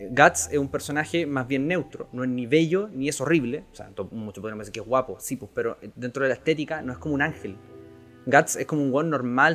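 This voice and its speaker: A man speaks at a fairly quick pace with a Chilean accent. His pitch is fairly high, with ordinary variation, over noticeable background noise. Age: young. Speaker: podcast host and writer. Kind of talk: casual chat.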